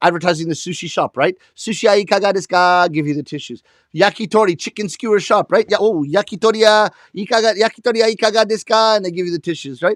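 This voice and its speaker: A man speaks very fast at a high pitch in an animated tone with ordinary pitch variation, on a very clean recording with a silent background and a dry, close sound with no echo. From Canada, Toronto. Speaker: comedian, rakugo storyteller. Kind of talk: stand-up. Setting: live stream performance.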